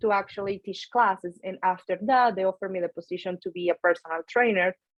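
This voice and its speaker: Speaking at a very fast pace with a strong Venezuelan accent, a woman keeps her intonation fairly even. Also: medium pitch for a woman. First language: Spanish. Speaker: nutrition coach and powerlifter. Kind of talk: podcast interview.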